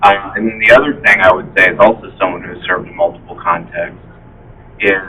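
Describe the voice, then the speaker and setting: A man speaks with an American accent. Noticeable background noise runs under his voice. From US South. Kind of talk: community meeting discussion.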